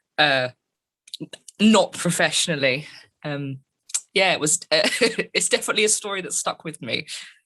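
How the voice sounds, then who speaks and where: A woman with a London accent speaks in a bright, sharp tone at a fairly low pitch, her intonation lively. She keeps a moderate pace with long, frequent pauses, in a dry, close sound with no echo. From England, London. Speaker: metal band keyboardist and vocalist. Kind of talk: interview.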